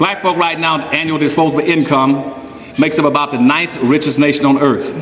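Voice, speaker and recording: Amid noticeable background noise and audible room echo, a man talks fairly quickly at a fairly high pitch with very even loudness. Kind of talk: speech to an audience. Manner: fast; animated.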